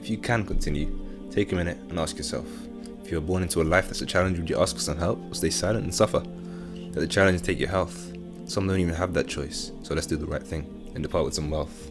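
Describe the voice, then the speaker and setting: A man speaks very fast with a British accent, his voice very deep and low with ordinary pitch variation. Music plays in the background. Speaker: spoken word poet. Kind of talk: spoken word poetry performance.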